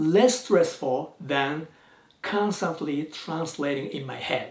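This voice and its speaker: Speaking very slowly with a Japanese accent, a man uses lively intonation. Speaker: YouTuber, language learner. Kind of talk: vlog talk to camera.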